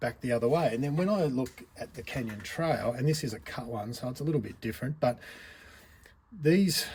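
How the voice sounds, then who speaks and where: With lively intonation and a fairly quick pace, a man with an Australian accent speaks at a medium pitch. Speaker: RC hobby reviewer. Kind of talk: product review monologue. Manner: casual, conversational.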